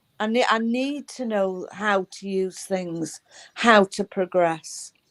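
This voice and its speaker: Talking at a very slow pace, a woman keeps a medium pitch with ordinary variation, the sound dry and close with no echo. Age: 70s. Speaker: spiritual group co-host. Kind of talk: casual chat.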